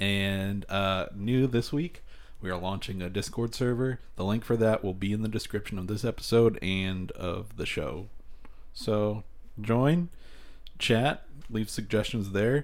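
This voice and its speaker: This is a man with an ordinary speaking voice and a fairly low pitch. He talks at a fairly slow pace with ordinary pitch variation. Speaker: podcast co-host. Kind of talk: casual chat.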